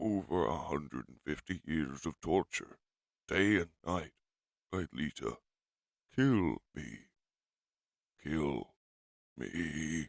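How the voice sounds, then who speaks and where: A man's put-on character voice, very deep and low, at a very slow pace with long, frequent pauses. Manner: pleading.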